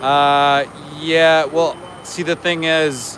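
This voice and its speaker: A man talks with a Canadian accent. Background noise is noticeable behind him. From Canada. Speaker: animal rights activist livestreamer. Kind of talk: live outdoor vigil stream. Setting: outdoors outside a slaughterhouse.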